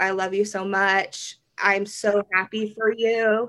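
A woman with a Midwestern US accent, medium pitch and monotone, flat intonation, in a very clean recording with a silent background. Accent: US Midwest. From Kansas, Derby near Wichita. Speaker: wedding photographer. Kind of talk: podcast interview.

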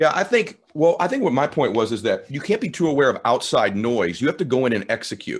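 With an energetic tone and hardly any pauses, a man speaks at a fairly high pitch that swings very widely. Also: fairly quick pace. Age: 50s. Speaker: podcast host. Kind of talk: interview. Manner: clear articulation.

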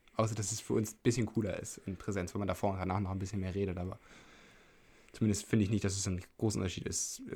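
A man talks at a very fast pace in a fairly low, somewhat breathy voice with a dark, mellow tone. His intonation is monotone and flat. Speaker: podcast host. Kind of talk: casual chat.

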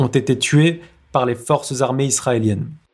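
A man's somewhat breathy voice, fairly slow in pace, with ordinary pitch variation. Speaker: news bulletin presenter. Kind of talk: news reading, scripted bulletin with quoted post. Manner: formal.

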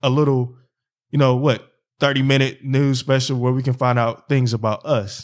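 A man with a Philadelphia accent, medium pitch and an animated tone, on a very clean recording with a silent background. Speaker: podcast host. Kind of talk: casual chat. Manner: animated, talks over co-host.

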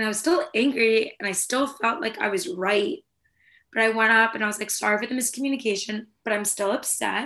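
Bright and sharp in tone, a woman speaks animatedly at a fairly quick pace and fairly high pitch with ordinary pitch variation. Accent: Californian. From California. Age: 20s. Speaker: former military spokesperson staffer. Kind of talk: casual chat.

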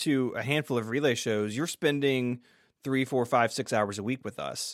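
A man with an ordinary speaking voice and an American accent, medium pitch, ordinary pitch variation and a moderate pace, in a very clean recording with a silent background. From US South, Memphis suburb. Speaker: podcaster and tech blogger. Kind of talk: interview conversation.

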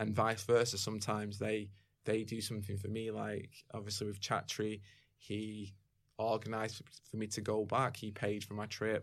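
A man with a Mancunian accent, fairly low in pitch, at a moderate pace, with monotone, flat intonation. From Manchester, England. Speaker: martial arts video site creator. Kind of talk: casual interview chat. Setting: studio.

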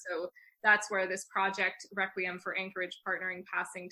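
A woman with an American accent speaks at medium pitch and a moderate pace in a bright, sharp tone. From Long Island, New York (Northport). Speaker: flutist and composer. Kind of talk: interview.

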